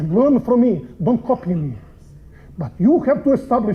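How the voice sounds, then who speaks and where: Lively intonation and a strong non-native accent at a moderate pace, over noticeable background noise. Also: man. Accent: heavy foreign. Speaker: preacher and seminary professor. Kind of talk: sermon.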